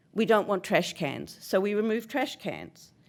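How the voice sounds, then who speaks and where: A woman speaks loudly at a medium pitch and a moderate pace on a very clean recording with a silent background. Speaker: resident speaking at public comment. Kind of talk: public comment at council meeting. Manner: assertive.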